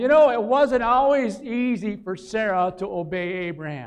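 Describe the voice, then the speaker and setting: A man talks in a high voice with ordinary pitch variation, keeping a moderate pace. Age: 60s. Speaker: pastor. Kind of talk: sermon.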